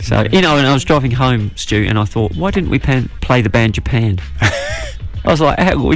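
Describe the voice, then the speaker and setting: A man with a New Zealand accent, very wide pitch swings, very even loudness and hardly any pauses, over noticeable background noise. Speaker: radio show co-host.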